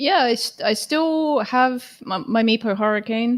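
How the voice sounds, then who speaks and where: A woman with a British accent and ordinary pitch variation. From UK. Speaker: electric skateboard racer. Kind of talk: casual interview chat. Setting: live stream.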